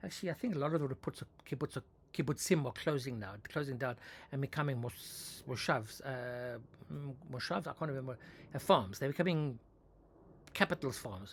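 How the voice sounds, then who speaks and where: A man's somewhat breathy voice at medium pitch, fairly quick in pace, with ordinary pitch variation and long, frequent pauses. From South Africa. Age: 60s. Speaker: author and vlogger. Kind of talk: casual monologue. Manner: halting, many false starts.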